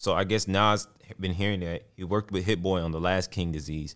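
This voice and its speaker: This man talks at a fairly quick pace in a very deep, low voice with an American accent, on a very clean recording with a silent background. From Texas. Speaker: podcast host. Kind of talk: casual solo commentary on hip hop.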